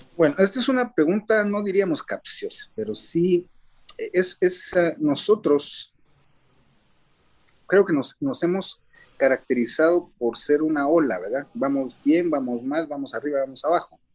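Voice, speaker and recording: Using lively intonation, a man with a high pitch speaks at a fairly slow pace. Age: 60s. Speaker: theatre director and actor. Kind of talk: interview. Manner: hesitant, many fillers.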